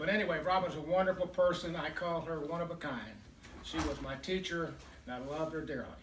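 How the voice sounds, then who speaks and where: A man with a high pitch rushes along at a very fast pace with fairly even intonation, amid noticeable background noise and audible room echo. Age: 80s+. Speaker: memorial speaker, businessman. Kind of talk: eulogy.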